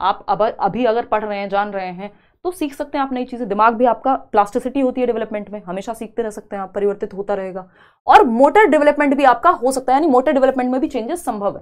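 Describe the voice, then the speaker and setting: In a quiet background, a woman talks at a high pitch and moderate pace, her intonation lively and her loudness swinging widely. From India. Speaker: online exam-prep teacher. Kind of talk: live online lecture. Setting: live stream. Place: studio.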